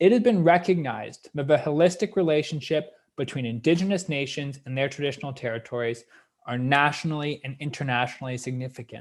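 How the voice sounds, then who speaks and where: With a Canadian accent, the speaker races along at a very fast pace with ordinary pitch variation, in a very clean recording with a silent background. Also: man, fairly high pitch for a man. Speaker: history professor. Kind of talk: lecture. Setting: live-streamed lecture.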